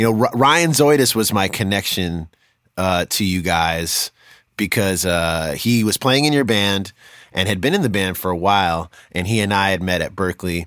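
A man with a normal speaking voice, fairly low in pitch, at a moderate pace and with ordinary pitch variation. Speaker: podcast host and musician. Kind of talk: casual interview chat.

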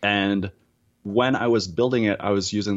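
A man with an Acadian accent speaks over a quiet background. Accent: Acadian Canadian English. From Acadian, East Coast Canada. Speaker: audiologist and voice app developer. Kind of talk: casual interview. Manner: animated.

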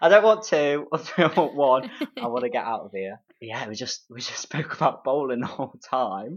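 A man with an East Midlands accent speaks at a fairly high pitch and a moderate pace, his pitch swinging very widely. His loudness rises and falls sharply, and he leaves long, frequent pauses. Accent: Derby East Midlands English. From Derby, England. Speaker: friend and guest chatting about dates. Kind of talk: casual chat.

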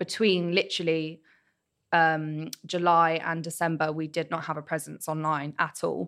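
A woman speaks with a fairly low pitch and a flat, monotone delivery. The recording is very clean, with a silent background. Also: moderate pace. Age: 20s. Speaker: events producer. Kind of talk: interview. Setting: studio.

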